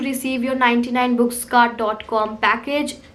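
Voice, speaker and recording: The pace is moderate. Noticeable background noise runs behind the voice. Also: woman. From India, Lucknow then Kolkata. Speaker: book youtuber. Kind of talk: casual Q&A chat.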